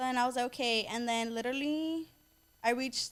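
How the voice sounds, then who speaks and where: A woman with a Southern California accent talks at a very fast pace. Her pitch is fairly high, with ordinary variation. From US West Coast, Inglewood, Los Angeles. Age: 20s. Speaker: social media influencer and boutique owner. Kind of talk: casual podcast interview.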